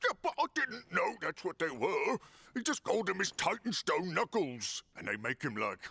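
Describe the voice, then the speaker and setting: A man puts on a cartoonish character voice pitched high. He keeps a moderate pace. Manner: blunt, plain-spoken.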